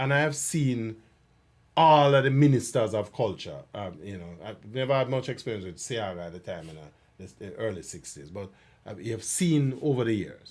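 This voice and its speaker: A man's medium-pitched voice at a moderate pace, with big swings in loudness and very wide pitch swings. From Jamaica. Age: 60s. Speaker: cultural commentator. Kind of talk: casual chat. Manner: halting.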